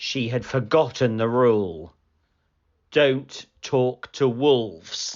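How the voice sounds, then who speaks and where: A man with a medium pitch speaks very slowly. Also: ordinary pitch variation. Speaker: storybook narrator. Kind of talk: children's picture book read aloud. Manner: storytelling, gentle, clear.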